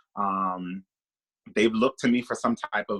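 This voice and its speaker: The voice has a bright, sharp tone at a moderate pace. The sound is dry and close with no echo. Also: man. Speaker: stylist. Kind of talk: workshop talk. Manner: loud.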